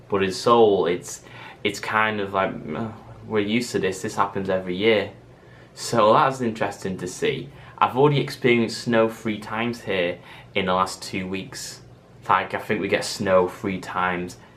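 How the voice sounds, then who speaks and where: A man's fairly low voice in a Mancunian accent, with fairly even intonation and audible room echo. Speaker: vlogger. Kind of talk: casual vlog monologue. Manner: fast.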